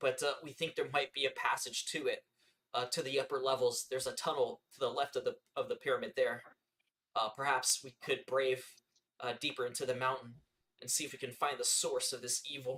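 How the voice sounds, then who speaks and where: A man puts on a raspy character voice with a fairly high pitch. He talks at a fairly quick pace. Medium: actual play. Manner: hesitant, measured.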